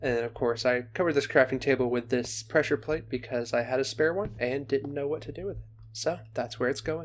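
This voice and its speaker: Soft-spoken and relaxed, with vocal fry, a fairly quick pace and hardly any pauses. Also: man, medium pitch for a man, ordinary pitch variation. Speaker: gaming video creator. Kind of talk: casual gameplay commentary. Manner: relaxed, with pauses and fillers.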